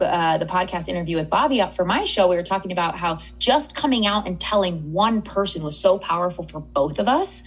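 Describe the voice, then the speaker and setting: A woman with an unremarkable speaking voice and a fairly low pitch talks at a fairly quick pace. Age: 30s. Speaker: eating psychology coach. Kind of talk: interview.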